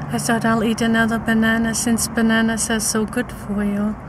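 A woman's voice, dry with no echo, over noticeable background noise. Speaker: vlogger. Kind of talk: casual vlog chat. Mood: playful, cheerful. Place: car. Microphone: phone near.

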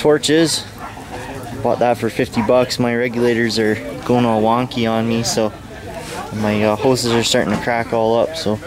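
A man at a moderate pace with fairly even intonation, long and frequent pauses, noticeable background noise, and a dry sound with no echo. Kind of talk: casual vlog commentary. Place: market. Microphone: phone near.

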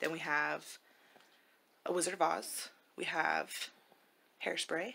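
The woman's delivery is fairly slow. A light hum of background noise can be heard. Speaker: family vlogger. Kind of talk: casual vlog chat. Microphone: phone near.

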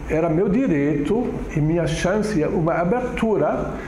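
Speaking at a very slow pace, a man is heard with audible room echo and light background noise. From Germany. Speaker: immigrant community councillor. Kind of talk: oral history interview answer. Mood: reflective, calm. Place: empty room.

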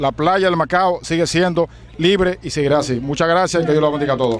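A man at a very fast pace and fairly high pitch, with fairly even intonation over light background noise. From Dominican Republic. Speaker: politician. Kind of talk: protest speech. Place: beach. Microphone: handheld.

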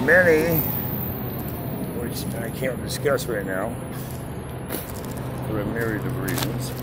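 A man's fairly slow speech with long, frequent pauses, dry sound with no echo, and loud background noise. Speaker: voice actor. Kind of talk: casual talk to camera. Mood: opinionated, preachy. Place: street. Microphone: phone near.

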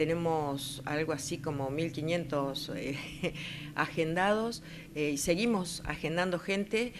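A woman's very deep, low pitch at a very slow pace, with audible room echo and noticeable background noise. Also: ordinary pitch variation. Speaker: weather observer. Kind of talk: interview.

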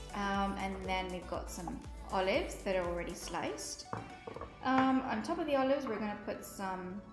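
A woman speaks at a moderate pace with clear music playing in the background. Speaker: kids' club cooking host. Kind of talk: tutorial. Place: kitchen. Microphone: camera far.

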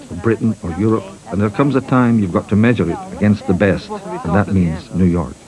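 A man talks at a fairly quick pace with a fairly low pitch. His pitch varies in an ordinary way over noticeable background noise. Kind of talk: documentary narration.

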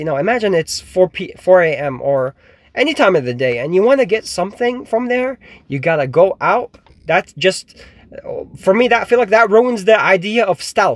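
A man at a moderate pace, dry sound with no echo. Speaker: vehicle dweller vlogger. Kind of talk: casual vlog chat. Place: car. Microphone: phone near.

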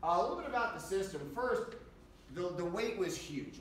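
A man at a fairly quick pace with lively intonation, audible room echo and light background noise. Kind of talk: tutorial. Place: workshop. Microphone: camera far.

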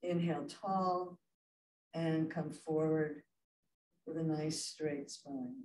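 A woman speaks very slowly in a very deep, low voice with fairly even intonation and long, frequent pauses. The room echo is audible, with light background noise. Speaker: yoga instructor. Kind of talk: guided chair yoga class, spoken cues. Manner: calm, slow, encouraging. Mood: calm, gentle. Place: hall. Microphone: camera far.

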